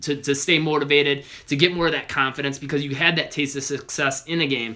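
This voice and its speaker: A man speaks at a very fast pace in a monotone, flat intonation. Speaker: basketball trainer. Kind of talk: live Q&A stream.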